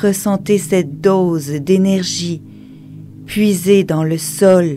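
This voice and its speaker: Over music in the background, a woman talks very slowly in a calm tone, her pitch fairly low and her intonation fairly even. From Quebec. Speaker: meditation guide. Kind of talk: guided meditation. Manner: slow, calm.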